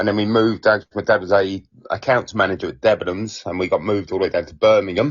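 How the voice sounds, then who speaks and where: Speaking with an Essex accent, a man uses a fairly low pitch and fairly even intonation. He goes at a very fast pace. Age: 40s. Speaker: stand-up comedian. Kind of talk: casual chat.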